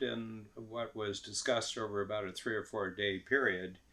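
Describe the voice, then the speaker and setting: The speaker has an American accent and a bright, sharp tone, talking at a moderate pace with fairly even intonation. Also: man. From US Midwest, northern Ohio. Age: 70s. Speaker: business coach and mentor. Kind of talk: podcast interview. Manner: hesitant with many fillers.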